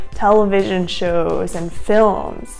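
The speaker is a woman. Behind her voice, music plays faintly. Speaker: actor giving career advice. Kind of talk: tutorial. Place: home room.

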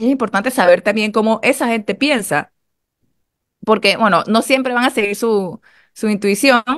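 Long, frequent pauses break up the speech. The background is quiet. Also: woman, fairly high pitch for a woman, ordinary pitch variation, moderate pace. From Panama. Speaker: radio panelist. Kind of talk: radio panel discussion. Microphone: video call.

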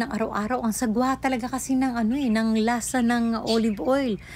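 With fairly even intonation, a woman speaks at a moderate pace in a fairly high pitch. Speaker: health tips vlogger. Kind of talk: vlog tutorial. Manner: hesitant, frequent uh fillers.

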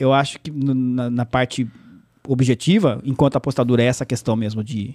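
At a moderate pace, a man talks at medium pitch against a quiet background. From São Paulo state interior, Brazil (Salto); São Paulo state, Brazil. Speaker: sports journalist and play-by-play narrator; sports journalist, play-by-play narrator. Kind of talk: casual interview chat. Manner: halting, many repetitions. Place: studio. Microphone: studio mic.

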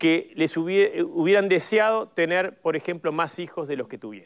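A man is speaking here. His pitch is high. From Uruguay. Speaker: politician. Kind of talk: panel discussion. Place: studio.

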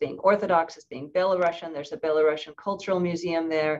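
This woman has a normal speaking voice with fairly even intonation. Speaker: author and anthropologist. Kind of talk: academic seminar discussion, responding to questions. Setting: online video seminar.

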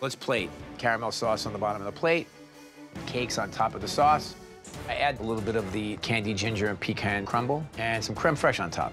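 Music plays clearly in the background as a man talks at a fairly quick pace. His pitch varies in an ordinary way. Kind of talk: cooking commentary. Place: studio. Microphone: lapel.

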